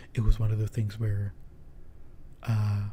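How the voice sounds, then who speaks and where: This somewhat breathy voice keeps to a moderate pace. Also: man. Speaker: streamer. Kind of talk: casual chat. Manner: halting. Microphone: handheld mic without pop filter.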